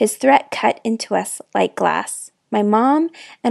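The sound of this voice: The background stays quiet. An unforced reading voice is heard.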